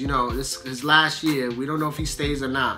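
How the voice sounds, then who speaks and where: Clear music plays in the background as a man speaks. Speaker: sports show co-host. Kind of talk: casual sports commentary. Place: home room. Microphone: phone near.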